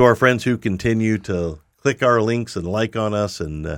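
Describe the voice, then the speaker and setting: An unremarkable speaking voice at a moderate pace, with ordinary pitch variation, is captured in a very clean recording with a silent background. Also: man. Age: 60s. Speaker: podcast host. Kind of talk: interview conversation.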